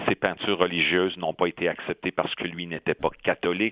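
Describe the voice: Low in pitch, a man talks at a fairly quick pace with little pitch movement. The sound is dry and close, with no echo.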